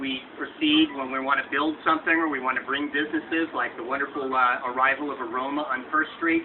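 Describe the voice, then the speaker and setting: Noticeable background noise sits behind a man's voice. He keeps a moderate pace with ordinary pitch variation. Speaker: local politician. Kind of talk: public speech. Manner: loud.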